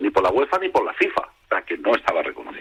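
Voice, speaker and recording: This man is recorded with a dry, close sound that carries no echo. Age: 60s. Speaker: football historian. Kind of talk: radio interview. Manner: hesitant, many fillers.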